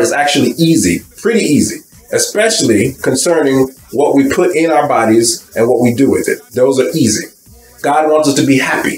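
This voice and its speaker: Light background noise and audible room echo surround a man speaking at a moderate pace. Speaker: bible teacher. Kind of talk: sermon. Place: home room. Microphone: webcam.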